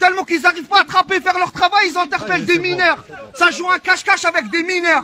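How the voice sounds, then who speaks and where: Raising and projecting his voice at an extremely high pitch, a man talks at a very fast pace with fairly even intonation over light background noise. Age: 30s. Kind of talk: heated confrontation. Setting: outdoors. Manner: loud. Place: street. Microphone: phone near.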